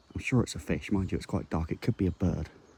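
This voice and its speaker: A quiet man speaks at a very deep, low pitch in a dark, mellow tone, with ordinary pitch variation. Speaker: angling vlogger. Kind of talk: vlog. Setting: outdoors by a lake. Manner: casual.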